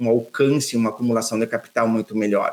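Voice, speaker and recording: A man with a southern Brazilian accent talks at a moderate pace with fairly even intonation. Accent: gaúcho (southern Brazilian). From Rio Grande do Sul, Brazil (São Borja, western border). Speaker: financial planner, former bank manager. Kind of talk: podcast interview.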